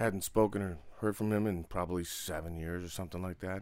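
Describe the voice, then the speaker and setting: A man speaks with a Californian accent. The recording is very clean, with a silent background. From Santa Barbara, California. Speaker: jazz drummer. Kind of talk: interview.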